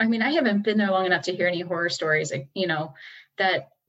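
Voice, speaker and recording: An ordinary speaking voice with an American accent and ordinary pitch variation. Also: woman. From US Midwest, Batavia, Illinois. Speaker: city council member. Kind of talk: interview.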